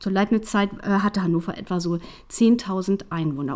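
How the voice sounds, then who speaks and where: Spoken at a fairly slow pace, this is a plain, everyday voice. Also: woman. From Hanover, northern Germany. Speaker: podcast host, researcher and science communicator. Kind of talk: interview conversation.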